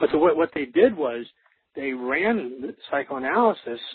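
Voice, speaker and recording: With an American accent, this man's pitch swings very widely. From US Midwest, Wisconsin. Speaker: professor. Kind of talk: interview. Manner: halting, many fillers.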